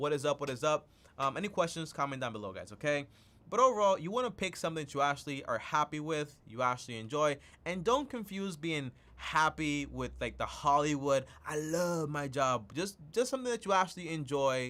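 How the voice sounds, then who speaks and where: His bright, sharp tone carries a fairly high pitch for a man. He speaks at a fairly quick pace with lively intonation. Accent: non-native. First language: not English. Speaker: personal finance youtuber. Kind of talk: live stream talk. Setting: live stream with zoom calls. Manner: casual, repetitive fillers.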